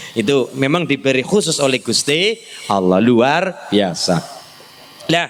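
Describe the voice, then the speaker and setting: An animated man at fairly high pitch, very wide pitch swings and a fairly slow pace, with noticeable background noise. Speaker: Islamic preacher. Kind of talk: sermon.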